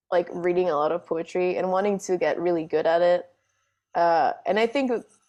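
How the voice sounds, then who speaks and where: A dark, mellow tone over a quiet background, with ordinary pitch variation. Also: woman. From Panama. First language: Spanish. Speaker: singer-songwriter and drummer. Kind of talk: casual interview chat.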